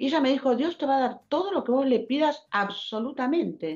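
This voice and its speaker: A woman's pitch swings very widely as she talks at a moderate rate against a quiet background. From Argentina, Buenos Aires area (Quilmes); Argentina. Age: 70s. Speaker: writer; guest. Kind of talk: testimony. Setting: video call. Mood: warm, emotional testimony. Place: home room. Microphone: video call.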